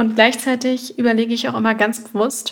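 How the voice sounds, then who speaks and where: Delivery is monotone and flat at a moderate pace. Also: woman. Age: 20s. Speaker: nutrition therapist and podcast host. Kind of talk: solo podcast monologue. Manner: warm, conversational.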